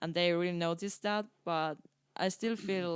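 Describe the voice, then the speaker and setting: With a Finnish accent, a woman talks with fairly even intonation. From eastern Finland. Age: 20s. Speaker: circus performer, freestyle footballer. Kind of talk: casual interview chat. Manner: hesitant, many fillers.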